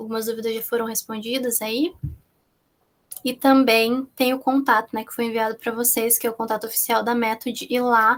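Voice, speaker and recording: Her voice fairly high, a woman speaks at a fairly quick pace with monotone, flat intonation. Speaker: minicourse instructor on research methodology. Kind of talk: online course lecture. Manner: fast.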